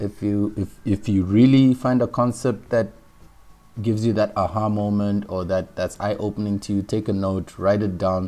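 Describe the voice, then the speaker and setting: A man speaks with a fairly low pitch and fairly even intonation. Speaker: online business course instructor. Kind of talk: tutorial. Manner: fast.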